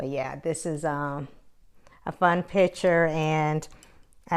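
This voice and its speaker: A woman with an American accent speaks in a very deep, low pitch and fairly even intonation, recorded very cleanly against a silent background. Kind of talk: casual talk to camera.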